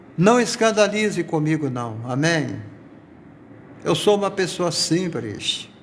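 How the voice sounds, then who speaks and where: Speaking at a very slow pace with long, frequent pauses, a man with a high pitch swings very widely in pitch, and the room echo is audible. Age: 60s. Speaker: pastor. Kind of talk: sermon. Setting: live stream from workplace.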